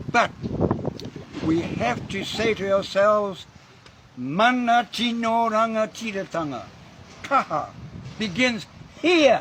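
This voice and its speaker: A high-pitched man's voice with lively intonation, a very slow pace, long and frequent pauses, and noticeable background noise. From New Zealand, Māori. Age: 80s+. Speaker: Māori elder and activist. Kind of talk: speech to a gathering. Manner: impassioned.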